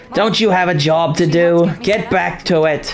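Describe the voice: A man puts on a put-on character voice that is raspy and high-pitched. He talks at a moderate pace over clear music in the background.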